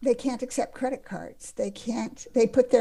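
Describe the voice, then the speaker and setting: The voice carries a dark, mellow tone with vocal fry. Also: woman. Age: 60s. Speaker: science journalist. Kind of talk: casual interview conversation.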